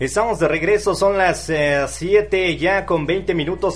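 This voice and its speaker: There is noticeable background noise behind this man. His pitch is high and varies in an ordinary way. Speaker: radio host. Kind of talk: radio show. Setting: studio.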